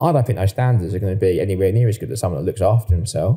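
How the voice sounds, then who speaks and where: A man speaks very fast with an Essex accent, his fairly low voice somewhat breathy. The tone is dark and mellow, with ordinary pitch variation. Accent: Essex, sounds like an estate agent. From Essex, England. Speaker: property surveyor. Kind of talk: podcast interview. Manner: casual, repetitive with false starts.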